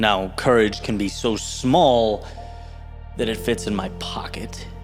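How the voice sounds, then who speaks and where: Over music in the background, a man speaks very slowly at a medium pitch with lively intonation. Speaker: motivational speaker. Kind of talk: motivational spoken word speech.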